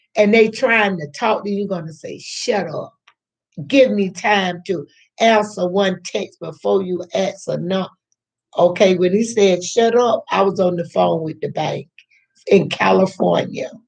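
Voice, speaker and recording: There is vocal fry in this woman's voice. She speaks at a fairly slow pace. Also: medium pitch for a woman, ordinary pitch variation. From US South. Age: 60s. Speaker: YouTube storyteller. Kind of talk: storytelling monologue. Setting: home kitchen. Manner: animated.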